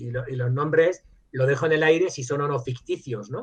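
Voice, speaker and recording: Pitch variation is ordinary and the pace moderate. Some breathiness is present in the voice. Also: man. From Spain, Madrid; teen years in Germany. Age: 60s. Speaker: virologist, professor and author. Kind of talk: interview. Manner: hesitant, many fillers and restarts.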